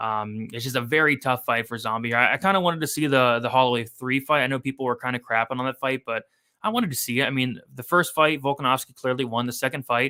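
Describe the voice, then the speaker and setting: A very fast, bright, sharp delivery with hardly any pauses and ordinary pitch variation, on a very clean recording with a silent background. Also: man, medium pitch for a man. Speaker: sports betting analyst. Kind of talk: live stream commentary.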